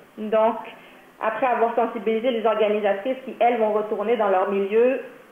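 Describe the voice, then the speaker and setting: With noticeable background noise behind her, a woman talks at a fairly high pitch. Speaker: workshop presenter for a nonprofit. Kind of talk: training presentation.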